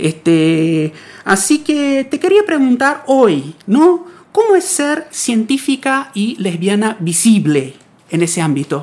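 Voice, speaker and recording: A very slow pace in an Argentine accent, with very wide pitch swings. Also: woman, fairly high pitch for a woman. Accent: Rioplatense Argentine Spanish. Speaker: radio science segment host; physics researcher. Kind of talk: interview. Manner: halting, many repetitions.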